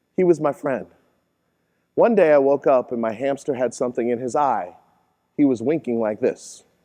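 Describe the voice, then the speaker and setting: A man speaks at a fairly quick pace in a fairly high pitch. His tone is dark and mellow, with ordinary pitch variation. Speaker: keynote speaker. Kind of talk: live keynote speech. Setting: conference stage. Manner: humorous storytelling.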